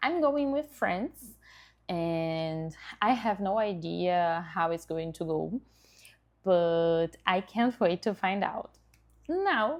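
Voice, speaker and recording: Speaking very slowly in a Brazilian accent, a woman uses lively intonation. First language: Portuguese. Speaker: dentist and content creator. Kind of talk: vlog self-introduction. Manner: occasionally halting.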